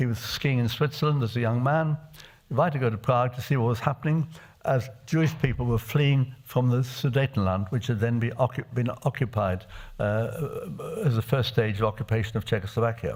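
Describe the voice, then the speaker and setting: Somewhat breathy male speech at a medium pitch, with ordinary pitch variation. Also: fairly quick pace. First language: Czech. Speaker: refugee survivor addressing parliamentarians. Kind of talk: testimony. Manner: halting with frequent hesitations.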